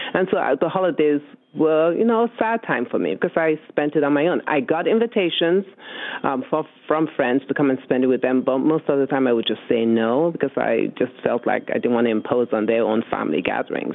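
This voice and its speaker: A woman's very deep, low voice with very wide pitch swings and very even loudness, at a fairly quick pace over noticeable background noise. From West Africa. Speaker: host's mother. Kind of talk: interview.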